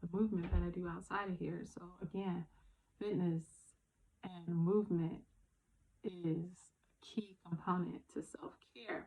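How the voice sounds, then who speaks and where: A woman talks at a fairly slow pace with fairly low pitch. Her voice is somewhat breathy, and her intonation is fairly even. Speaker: self-care vlogger. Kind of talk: casual talk to camera.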